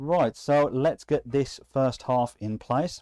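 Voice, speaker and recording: In a very clean recording with a silent background, a man speaks in a dark, mellow tone with a dry, close sound and no echo. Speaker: maker YouTuber reviewing CNC machines. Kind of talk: live stream tutorial. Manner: casual, frequent ums.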